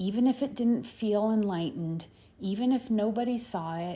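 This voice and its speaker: Calm in tone, a woman speaks in a somewhat breathy voice that is dark and mellow, with a fairly high pitch and ordinary pitch variation. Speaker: spiritual channeler. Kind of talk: channeled spiritual message. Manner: slow.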